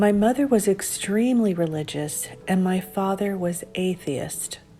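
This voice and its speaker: Against noticeable background noise, a woman talks at a fairly slow pace in a medium pitch with ordinary pitch variation. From California, US (Monterey Bay area). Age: 60s. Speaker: vlogger. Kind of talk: personal vlog monologue.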